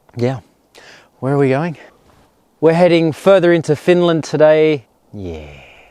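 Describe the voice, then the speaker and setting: Using an Australian accent, a man speaks at a fairly high pitch in a dark, mellow tone, at a fairly slow pace with long, frequent pauses and ordinary pitch variation. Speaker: travel vlogger. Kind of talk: casual vlog narration. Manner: animated.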